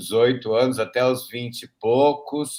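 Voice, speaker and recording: The voice belongs to a man. It has a medium pitch. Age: 60s. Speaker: theater cast member. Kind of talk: self-introduction.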